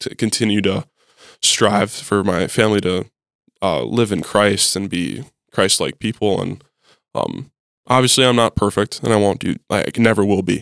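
On a very clean recording with a silent background, a man talks with an Upper Midwest accent. His voice is fairly low with ordinary pitch variation at a moderate pace, and the sound is dry and close with no echo. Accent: Upper Midwest American. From North Dakota. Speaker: college football player. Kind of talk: casual interview.

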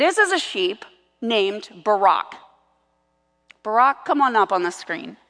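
Using a put-on character voice, a woman speaks with a raspy, fairly high pitch, lively intonation, a moderate pace, and long, frequent pauses.

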